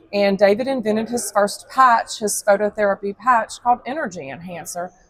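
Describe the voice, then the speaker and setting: A woman with an American accent speaks at a moderate pace in an ordinary speaking voice, fairly high in pitch with ordinary variation. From Texas. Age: 50s. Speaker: product representative. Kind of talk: sales pitch. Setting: convention hall.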